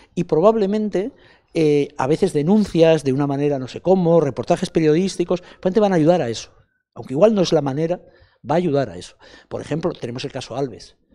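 At a very fast pace, a man speaks in a dark, mellow tone with ordinary pitch variation and big swings in loudness, over a quiet background. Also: fairly high pitch for a man. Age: 60s. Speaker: film festival director; interviewee. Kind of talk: interview. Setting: festival interview set. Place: hall. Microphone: handheld.

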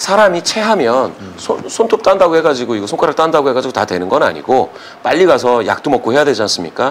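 Over light background noise, a man races along at a very fast pace, his fairly high pitch swinging very widely. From South Korea. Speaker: polling and data analyst; data analyst. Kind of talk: political commentary interview. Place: studio.

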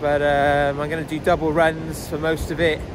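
A man at a fairly slow pace, dry sound with no echo and noticeable background noise. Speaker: runner vlogger. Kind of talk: casual vlog chat. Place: beach. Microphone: phone near.

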